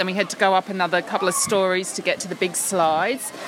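Noticeable background noise sits behind a woman with an Australian accent. She talks at a fairly quick pace. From Tasmania, Australia. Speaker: podcast co-host. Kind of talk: casual chat; on-location recording. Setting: office.

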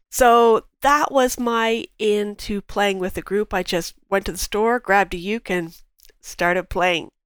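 A woman with a Canadian accent and an ordinary speaking voice talks at a medium pitch and a fairly slow pace with ordinary pitch variation, on a very clean recording with a silent background and a dry, close sound with no echo. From southern Ontario, Canada. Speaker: market researcher. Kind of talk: casual interview chat.

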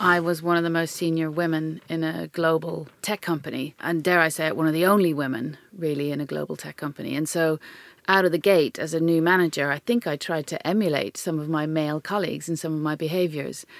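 A woman speaks with an Irish accent at a fairly quick pace, her pitch very deep and low. Her intonation stays fairly even. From Ireland. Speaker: tech company chief executive. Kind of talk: interview conversation.

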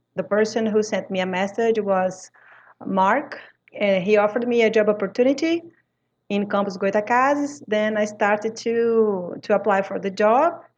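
A moderate pace in a Brazilian accent. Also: woman. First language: French. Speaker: language teacher. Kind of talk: interview conversation. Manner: halting non-native phrasing.

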